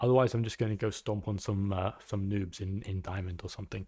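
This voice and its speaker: A man with an English accent at a moderate pace, on a very clean recording with a silent background. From England. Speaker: gaming streamer and coach. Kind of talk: live stream coaching chat. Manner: halting, many fillers and repeats.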